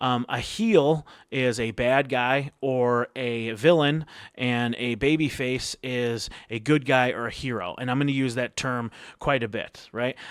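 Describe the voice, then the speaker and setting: A man talks at a medium pitch and a fairly slow pace, with fairly even intonation. The recording is very clean, with a silent background. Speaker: wrestling vlogger. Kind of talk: casual vlog commentary. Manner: hesitant, many fillers.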